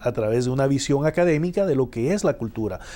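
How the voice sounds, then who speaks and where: The man's tone is dark and mellow, his pitch fairly high. He speaks at a fairly quick pace with lively intonation. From El Salvador. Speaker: professor. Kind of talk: TV interview. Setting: TV studio. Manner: halting, many filler 'ah's.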